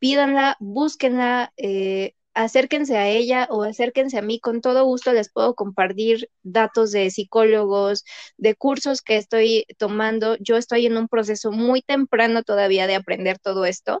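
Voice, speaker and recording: A woman with a fairly high pitch speaks at a fairly slow pace, barely pausing. Her intonation is fairly even, and the sound is dry and close with no echo. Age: 30s. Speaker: veterinarian. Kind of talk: casual chat.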